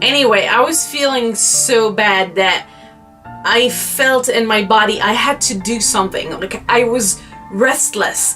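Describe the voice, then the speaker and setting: Over music in the background, a woman talks with a French accent and ordinary pitch variation. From France. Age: 20s. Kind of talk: personal story told to camera.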